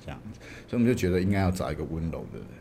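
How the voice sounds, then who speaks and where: Audible room echo surrounds a man's very deep, low voice, dark and mellow in tone. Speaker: film director. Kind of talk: interview.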